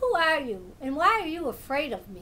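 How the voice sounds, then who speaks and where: This put-on character voice swings very widely in pitch. Clear background noise runs underneath. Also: woman. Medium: read story.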